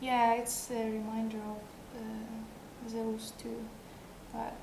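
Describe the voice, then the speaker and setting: With noticeable background noise behind her, a woman with a non-native accent speaks in a fairly high pitch using monotone, flat intonation. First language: not English. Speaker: sculptor and live streamer; live streamer. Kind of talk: casual live stream chat with viewers. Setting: live stream. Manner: halting, hesitant. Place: home room. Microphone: headset.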